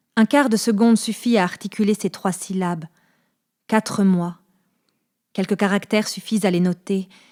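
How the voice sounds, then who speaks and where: The voice keeps a moderate pace and fairly even intonation, with long, frequent pauses. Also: woman, medium pitch for a woman, dry, close sound with no echo, very clean recording, silent background. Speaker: voice actor. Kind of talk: literary reading.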